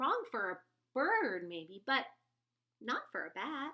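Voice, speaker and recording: A woman uses a put-on character voice pitched high, with very wide pitch swings. Her pace is fairly slow. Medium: read story. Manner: loud.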